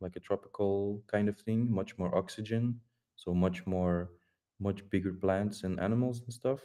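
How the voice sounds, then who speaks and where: A man's fairly low, dark, mellow voice with a non-native accent, fairly even intonation and a moderate pace. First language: Dutch. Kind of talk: casual group voice chat. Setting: online voice chat. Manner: halting, many repetitions and fillers.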